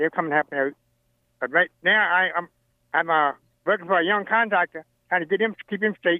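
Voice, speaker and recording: With an American accent, a man speaks high-pitched at a fairly quick pace, broken by long, frequent pauses. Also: ordinary pitch variation. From Virginia, US. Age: 80s. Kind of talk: casual interview, storytelling. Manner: humorous storyteller.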